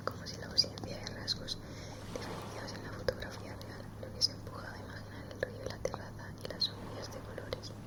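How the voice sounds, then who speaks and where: A woman whispers at a fairly quick pace, her loudness swinging widely. Noticeable background noise runs underneath. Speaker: ASMR creator. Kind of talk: ASMR book reading. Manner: whispered.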